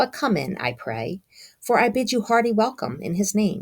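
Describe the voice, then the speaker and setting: This is a put-on character voice, female-sounding and breathy. It has a medium pitch for a woman and moves at a moderate pace. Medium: read story. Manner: coaxing.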